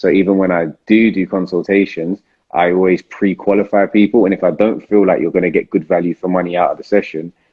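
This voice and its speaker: A man with a London accent, very deep and low in pitch, at a fairly quick pace with monotone, flat intonation. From South London. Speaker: property investor and live Q&A host. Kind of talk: live Q&A stream. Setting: Instagram live video. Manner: casual, hesitant with many fillers.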